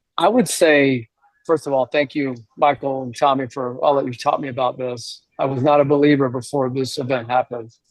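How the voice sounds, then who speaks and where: This man has an ordinary speaking voice, fairly high in pitch, and keeps a moderate pace. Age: 60s. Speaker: real estate professional. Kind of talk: panel discussion.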